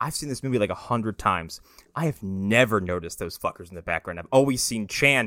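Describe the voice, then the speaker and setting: A man's bright, sharp, medium-pitched voice at a very fast pace with lively intonation, a very clean recording with a silent background and a dry, close sound with no echo. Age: 30s. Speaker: movie podcast co-host. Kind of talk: casual chat.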